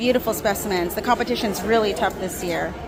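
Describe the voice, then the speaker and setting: There's clear background noise and a noticeable echo from the room. A woman talks somewhat briskly within it. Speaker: gardening vlogger. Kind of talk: casual vlog walkthrough. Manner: animated; whispering.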